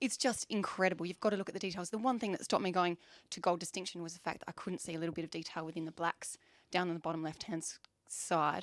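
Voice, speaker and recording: A woman with an Australian accent speaks very fast in a fairly low, animated voice with ordinary pitch variation. The recording is very clean, with a silent background. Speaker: photography awards judge. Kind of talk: panel judging discussion.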